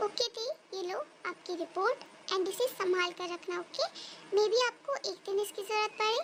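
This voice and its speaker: At a moderate pace, a female-sounding put-on character voice pitched extremely high rises over clear background noise. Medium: read story.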